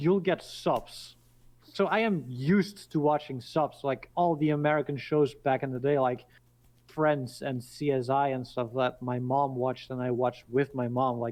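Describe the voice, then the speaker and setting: A man with a Dutch accent, medium pitch, ordinary pitch variation and a moderate pace. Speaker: podcast guest. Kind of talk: casual chat.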